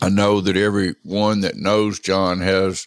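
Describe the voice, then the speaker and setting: In a very deep, low voice, a man speaks at a fairly slow pace with a solemn tone, the sound dry and close with no echo. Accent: Southern US. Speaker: eulogist and friend. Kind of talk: eulogy, warm and reverent tribute to a late friend, with affectionate anecdotes. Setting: recorded late at night, alone. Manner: slow, reflective, sentimental, with halting pauses and repeated phrases; heartfelt and solemn, unhurried, ending in cadenced repetition.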